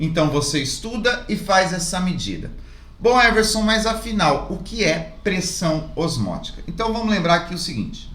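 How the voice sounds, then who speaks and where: A man with a high voice talks at a moderate pace with ordinary pitch variation, heard with audible room echo and noticeable background noise. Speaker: chemistry teacher. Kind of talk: tutorial.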